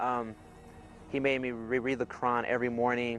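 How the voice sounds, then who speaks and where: With music in the background, a man in an American accent talks at a moderate pace. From US, California. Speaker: army soldier. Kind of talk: testimony.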